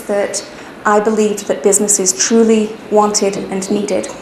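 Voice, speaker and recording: Against noticeable background noise and audible room echo, a woman with a British accent speaks at a moderate pace at medium pitch, her intonation monotone and flat. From UK. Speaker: HR consultant, business owner. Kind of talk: personal business narrative.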